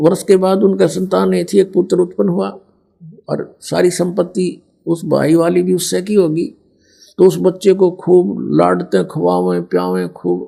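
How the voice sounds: A man talks in a high pitch with ordinary pitch variation. His tone is dark and mellow, with vocal fry.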